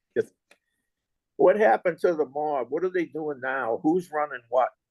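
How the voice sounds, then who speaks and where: A man speaks with a Boston accent in a fairly high pitch. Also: ordinary pitch variation, moderate pace. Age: 70s. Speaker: interviewer. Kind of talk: interview.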